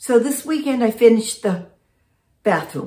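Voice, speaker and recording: A somewhat breathy woman at a fairly slow pace, with audible room echo and a quiet background. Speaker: vlogger. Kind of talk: casual vlog chat. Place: home room. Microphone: phone near.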